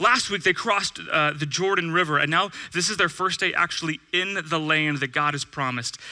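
In a Californian accent, a man with a high pitch and an animated tone talks fairly quickly with hardly any pauses and ordinary pitch variation over a quiet background. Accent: Californian American. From California, Bakersfield. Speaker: pastor. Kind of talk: sermon. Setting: church with audience. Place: church. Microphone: headset.

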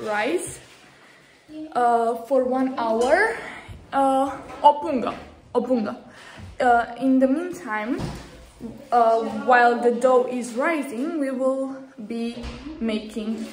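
With light background noise and audible room echo, a woman speaks at a very slow pace in a high pitch, using ordinary pitch variation and long, frequent pauses. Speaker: vlogger. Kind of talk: casual vlog chat. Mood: playful, laughing. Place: kitchen. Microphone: phone near.

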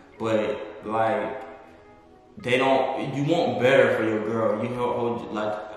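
Faint music plays behind a man who speaks very slowly amid strong room echo. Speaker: guest. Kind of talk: interview answer. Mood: relaxed, thoughtful. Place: home room.

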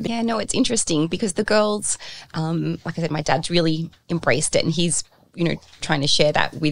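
A woman's fairly low voice in an Australian accent, fairly quick, with ordinary pitch variation. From Central Coast, New South Wales, Australia. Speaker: sales and marketing leader. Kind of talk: podcast interview answer. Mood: relaxed, warm. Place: office. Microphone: studio mic.

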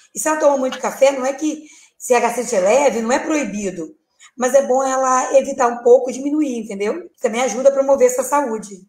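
Audible room echo carries a woman's high-pitched voice as she speaks at a very fast pace with ordinary pitch variation. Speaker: guest. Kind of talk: interview answer. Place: home room.

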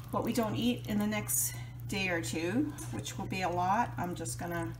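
Moderate pace against noticeable background noise. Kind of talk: casual vlog chat. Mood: pleased, relaxed. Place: kitchen. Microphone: phone near.

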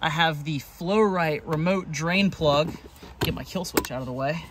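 Noticeable background noise sits under a dry sound with no echo. A man talks at a moderate pace with ordinary pitch variation. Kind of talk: casual tour commentary. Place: garden. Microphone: phone near.

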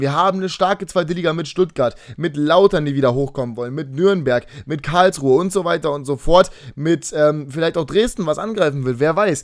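This man talks at a fairly quick pace, his pitch high. His pitch variation is ordinary, and the background is quiet. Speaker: gaming YouTuber. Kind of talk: casual monologue video. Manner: fast. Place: home room. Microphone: webcam.

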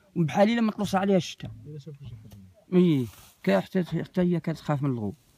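A man's high, dark and mellow voice with lively intonation, at a moderate pace, in a dry sound with no echo. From M'hamid, Zagora, Morocco. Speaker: desert nomad, former caravan traveller. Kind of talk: oral storytelling. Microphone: phone near.

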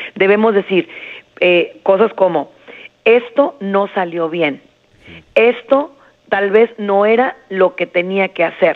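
There is noticeable background noise behind this voice. A woman speaks with ordinary pitch variation. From Jerez, Zacatecas, Mexico. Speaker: psychologist. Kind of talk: interview advice.

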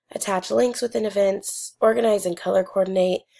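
Her voice has a fairly high pitch and a dark, mellow tone. The woman talks at a fairly quick pace. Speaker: graduate student. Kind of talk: class presentation.

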